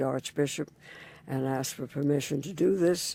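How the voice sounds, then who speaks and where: A woman speaks in a very deep, low pitch with vocal fry. Her tone is dark and mellow, and her pace is moderate. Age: 90s. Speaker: interfaith community leader. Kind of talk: oral history interview. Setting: recording booth in a library.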